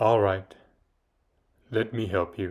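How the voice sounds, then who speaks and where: A man performs a put-on character voice at a fairly low pitch. The recording is very clean, with a silent background. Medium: read story. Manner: menacing, commanding.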